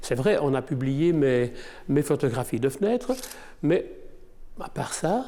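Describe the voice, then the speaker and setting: A man's dark, mellow voice, fairly high and lively in intonation, at a fairly slow pace on a very clean recording with a silent background. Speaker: photographer. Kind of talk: interview testimony. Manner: hesitant, with many fillers.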